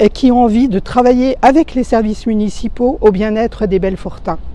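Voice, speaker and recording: This woman's voice sits fairly high in pitch with ordinary variation. Noticeable background noise can be heard. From France, Belfort. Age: 60s. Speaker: retired civil servant, municipal election candidate. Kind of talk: campaign testimony to camera. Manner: hesitant, with frequent fillers.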